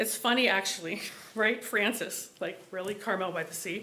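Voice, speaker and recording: Amid noticeable background noise and audible room echo, a woman at medium pitch talks at a moderate pace with fairly even intonation. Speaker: resident giving public comment. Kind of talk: public comment at city meeting. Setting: public meeting hall. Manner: impassioned.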